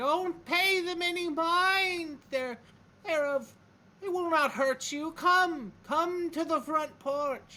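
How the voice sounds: The voice is a put-on character voice at an extremely high pitch. It moves at a very slow pace.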